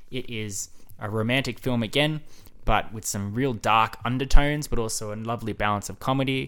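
Over a very clean recording with a silent background, a man with an Australian accent speaks fairly quickly at medium pitch, bright and sharp in tone, with ordinary pitch variation and big swings in loudness. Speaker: podcast host. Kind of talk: casual monologue.

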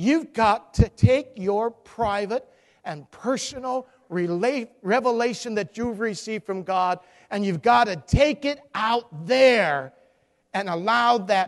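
Talking at a fairly slow pace, a man with a high pitch uses lively intonation. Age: 60s. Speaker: guest pastor. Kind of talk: sermon. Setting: church with congregation.

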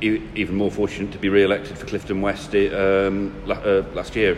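Over noticeable background noise, a man speaks in a flat monotone at a fairly low pitch and a moderate pace. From Nottinghamshire, England. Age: 30s. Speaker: local councillor. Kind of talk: interview. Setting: leisure centre. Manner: hesitant, many fillers.

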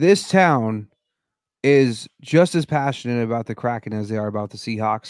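A speaker with an American accent talks at a moderate pace, pitch swinging very widely. The sound is dry and close with no echo, on a very clean recording with a silent background. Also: man. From Denver, Colorado. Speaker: sports fan commentator. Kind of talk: casual sports talk. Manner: halting, many repeated words.

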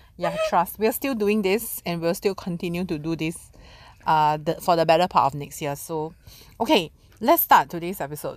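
In a very clean recording with a silent background, a woman with a fairly low pitch and a Singaporean accent talks at a fairly quick pace with lively intonation. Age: 30s. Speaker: podcast co-host. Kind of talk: casual chat.

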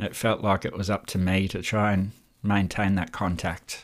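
In a very clean recording with a silent background, a man with an Australian accent speaks at a fairly low pitch. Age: 40s. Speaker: mental health podcast host. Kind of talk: personal monologue.

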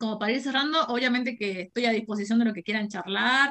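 A normal speaking voice goes at a fairly quick pace, its pitch varying in an ordinary way. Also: woman. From Argentina, Jujuy. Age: 20s. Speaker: university lecturer and anti-racism activist. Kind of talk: interview.

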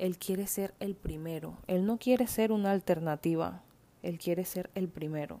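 A woman speaks at a moderate pace, her medium-pitched voice dark and mellow in tone. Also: ordinary pitch variation. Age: 20s. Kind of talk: devotional talk; testimony.

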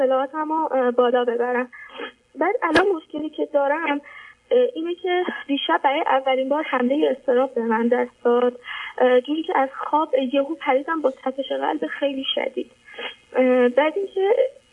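A woman with a high pitch and lively intonation talks at a moderate pace, leaving long, frequent pauses over noticeable background noise. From Iran. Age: 20s. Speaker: caller to advice show. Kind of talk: personal testimony. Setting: phone call.

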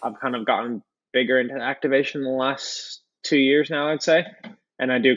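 Fairly even in intonation, an unremarkable speaking voice goes at a fairly quick pace. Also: man. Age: 20s. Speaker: professional road cyclist. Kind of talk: casual interview.

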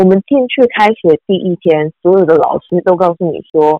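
A woman speaks at a moderate pace. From Taiwan. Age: 30s. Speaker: former TV news journalist and anchor. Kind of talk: casual interview.

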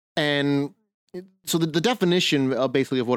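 Fairly high in pitch, a man talks at a fairly quick pace in a plain, everyday voice. The sound is dry and close, with no echo. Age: 40s. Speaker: podcast co-host, medieval living history reenactor. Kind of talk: casual chat.

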